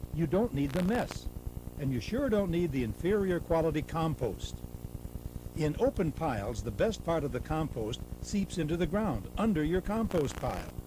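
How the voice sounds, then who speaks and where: An upbeat man's voice, fairly high in pitch, with very wide pitch swings at a moderate pace and noticeable background noise. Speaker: narrator. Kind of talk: infomercial sales narration. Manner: upbeat, persuasive.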